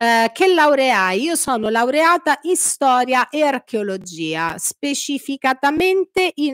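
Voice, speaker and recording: Against a quiet background, a woman's high-pitched voice swings very widely in pitch, with a dry sound and no echo. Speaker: political commentary streamer. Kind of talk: live stream chat. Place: home room. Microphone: studio mic.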